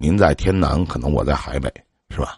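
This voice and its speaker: A man speaks in a very deep, low pitch with vocal fry. His pace is fairly quick. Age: 40s. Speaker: radio call-in advice host. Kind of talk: call-in advice chat.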